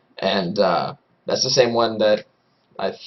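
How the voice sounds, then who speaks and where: A man at medium pitch and a moderate pace. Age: 20s. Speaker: aspiring esports caster. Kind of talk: casual monologue. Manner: hesitant, many fillers.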